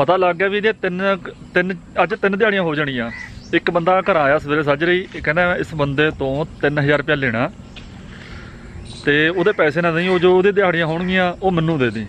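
Light background noise surrounds a man's voice. His high pitch shows ordinary variation. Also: dry sound with no echo. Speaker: farmer and vlogger. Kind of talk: casual vlog talk to camera. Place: farm machine. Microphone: phone near.

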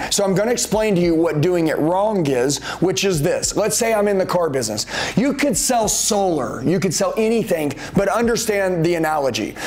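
This man talks at a moderate pace with lively intonation. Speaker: sales trainer. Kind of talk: motivational lecture to camera. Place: studio.

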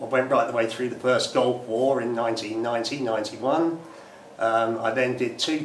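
A man's voice amid light background noise, with room echo clearly heard. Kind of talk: interview answer. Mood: calm, reflective. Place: empty room.

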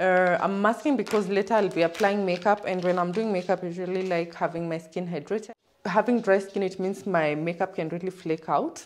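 A woman at a fairly quick pace with hardly any pauses and fairly even intonation. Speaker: vlogger. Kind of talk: casual vlog chat. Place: home room. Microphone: phone near.

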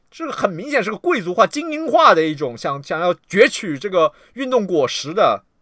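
A man speaks in an animated, high-pitched voice at a moderate pace with hardly any pauses, his pitch swinging very widely and his loudness rising and falling sharply, in a dry recording with no echo and a quiet background. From China. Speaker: livestreamer and political commentator; livestreamer, political commentator. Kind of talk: livestream rant. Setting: livestream. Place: home room.

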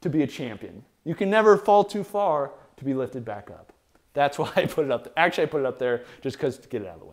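Over a quiet background, a man speaks at a very fast pace with very wide pitch swings and big swings in loudness. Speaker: equipment reviewer. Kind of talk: casual show-and-tell commentary. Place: garage. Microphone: lapel.

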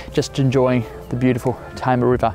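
Faint music plays in the background as a man with an Australian accent speaks. His pace is fairly quick, and the sound is dry with no echo. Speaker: real estate agent. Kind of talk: property listing presentation to camera. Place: open country. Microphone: lapel.

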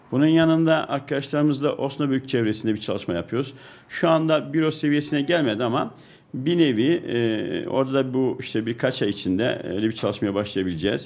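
Lively intonation marks a man's medium-pitched voice, which moves at a fairly quick pace. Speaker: businessman. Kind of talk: interview. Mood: calm, explanatory. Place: office. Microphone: handheld.

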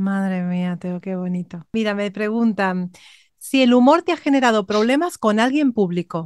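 Speaking in a Spanish accent at a moderate pace, a woman with a medium-pitched voice sounds animated, with lively intonation, in a dry, close sound with no echo and a quiet background. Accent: Peninsular Spanish. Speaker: vocal coach. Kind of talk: interview.

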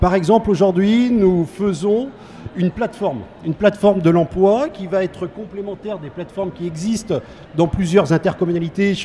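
The speech runs at a fairly quick pace with ordinary pitch variation. Light background noise is present. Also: man. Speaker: guest. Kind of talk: interview answer. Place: hall. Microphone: handheld.

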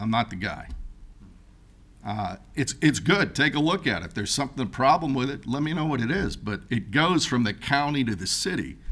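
At a moderate pace, a man speaks with a fairly high pitch and vocal fry. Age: 60s. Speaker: boat race event organizer. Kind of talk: public comment at council meeting. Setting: city hall chambers.

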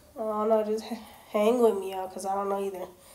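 A woman talks in a fairly high voice. Her delivery is monotone, with flat intonation. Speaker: vlogger. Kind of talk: casual vlog. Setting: in a car, outdoors. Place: home room. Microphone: phone near.

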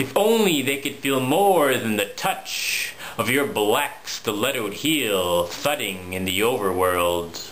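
A man's theatrical, playful tone, very slow pace with hardly any pauses, very wide pitch swings, and light background noise. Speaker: poet. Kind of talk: spoken word poetry, dark macabre Halloween poem. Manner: theatrical, rhythmic, playful-sinister. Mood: dark, playful Halloween tone.

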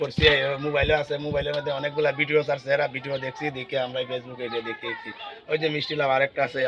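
Flat, monotone delivery comes through over noticeable background noise. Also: man, fairly high pitch for a man. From Bangladesh, Habiganj (Sylhet region); Bangladesh. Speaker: farmer. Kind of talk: casual interview. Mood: proud, happy. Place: garden. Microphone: phone near.

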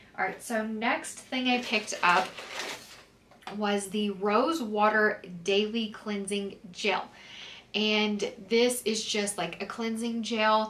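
Speaking slowly, a woman holds a medium pitch with fairly even intonation and a fairly bright tone. Audible room echo surrounds her voice.

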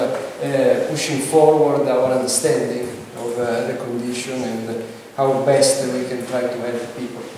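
A man's monotone, flat delivery at medium pitch and moderate pace, with strong room echo and light background noise. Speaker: neurologist. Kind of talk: conference lecture. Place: hall.

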